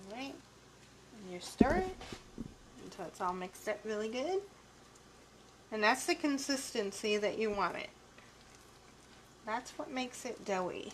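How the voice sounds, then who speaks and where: A soft-spoken woman with a fairly high pitch and lively intonation speaks with long, frequent pauses. Her loudness swings widely, and background noise is noticeable. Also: moderate pace. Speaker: cooking show co-host. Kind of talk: live cooking demonstration. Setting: live video stream.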